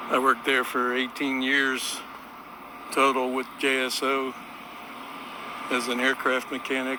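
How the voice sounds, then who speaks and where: Amid noticeable background noise, a man talks fairly slowly at a medium pitch in a monotone, flat intonation, with long, frequent pauses. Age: 60s. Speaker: retired aircraft mechanic, vlogger. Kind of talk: casual walking vlog narration. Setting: outdoors on a riverwalk. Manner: relaxed, with frequent uh fillers.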